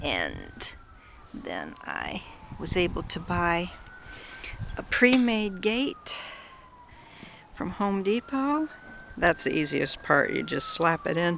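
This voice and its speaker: Over noticeable background noise, a woman talks at a very slow pace with long, frequent pauses. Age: 60s. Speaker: home cook and DIY builder. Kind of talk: casual talk to camera.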